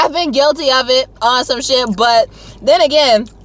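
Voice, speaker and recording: With an American accent, a raised, projected voice speaks at a moderate pace in an animated tone with lively intonation over noticeable background noise. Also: woman. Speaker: YouTuber. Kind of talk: casual chat. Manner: loud.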